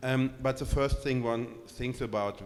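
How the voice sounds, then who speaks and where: The speaker has a German accent. The pace is moderate. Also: man. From Germany. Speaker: curator. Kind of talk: public artist talk. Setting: gallery event with audience. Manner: hesitant, many fillers.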